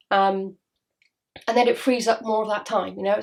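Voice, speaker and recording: A woman with a Welsh accent at medium pitch, fairly quick and flat in a monotone. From Wales. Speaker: spiritual healer. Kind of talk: casual monologue to camera. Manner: fast.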